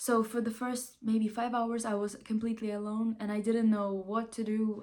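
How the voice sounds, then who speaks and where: A woman's fairly high voice with a Ukrainian accent, at a moderate pace. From Ukraine. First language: not English. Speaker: vlogger. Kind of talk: casual vlog monologue. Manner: animated, halting with restarts.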